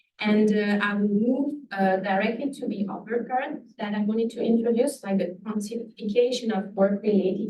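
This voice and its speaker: In a room with audible echo, a woman talks at a medium pitch with ordinary pitch variation. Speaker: epidemiologist, researcher. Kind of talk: lecture. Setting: lecture hall with audience. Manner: fast.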